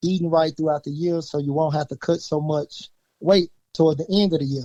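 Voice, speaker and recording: A man with a Southern US accent, fairly high pitch, fairly even intonation and a fairly quick pace, in a dry, close sound with no echo. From Louisiana, USA. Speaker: high school coach. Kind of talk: interview answer.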